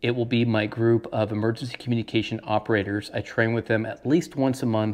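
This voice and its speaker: A man's moderate pace carries over a quiet background. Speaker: radio hobby channel host. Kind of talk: tutorial. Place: home room. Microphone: lapel.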